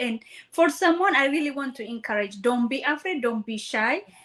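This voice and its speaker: A woman's raised, projected voice in an Ethiopian accent, high-pitched with a bright, sharp tone at a moderate pace. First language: not English; English is her third language. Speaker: nursing student and online business owner. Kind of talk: interview.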